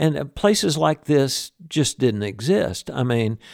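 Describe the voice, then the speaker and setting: A man with a Southern US accent speaks at a fairly slow pace. The recording is very clean with a silent background and a dry, close sound with no echo. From US South, Birmingham, Alabama. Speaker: musician, guitarist. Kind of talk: interview. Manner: halting, many fillers.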